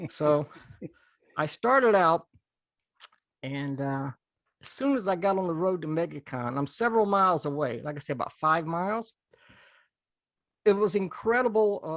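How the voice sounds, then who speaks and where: Taking long, frequent pauses, a man with a high pitch speaks at a moderate pace with lively intonation. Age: 60s. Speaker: small press comics reviewer and show co-host. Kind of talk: casual chat. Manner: halting.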